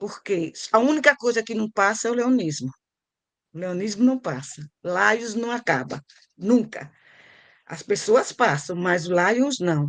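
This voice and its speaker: A woman speaks at a fairly slow pace with very wide pitch swings. Her sound is dry and close with no echo, against a quiet background. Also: medium pitch for a woman. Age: 70s. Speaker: service club veteran member. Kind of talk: speech at club meeting.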